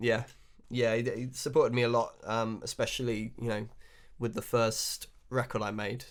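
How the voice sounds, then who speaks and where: A man speaks at a moderate pace with a southern English accent on a very clean recording with a silent background. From England, West Country (Wiltshire). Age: 30s. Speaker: blues harmonica player. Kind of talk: interview. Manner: hesitant, many fillers.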